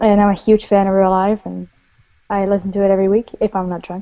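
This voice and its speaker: With a Dutch accent, this voice has a dark, mellow tone, a monotone, flat intonation, and big swings in loudness. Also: woman. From Netherlands. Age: 20s. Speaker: podcast guest. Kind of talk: casual chat.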